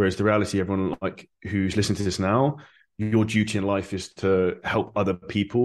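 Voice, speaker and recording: A man with a southern English accent and a very deep, low pitch, over a quiet background. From Surrey, southern England. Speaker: online fitness coach and entrepreneur. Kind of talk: interview.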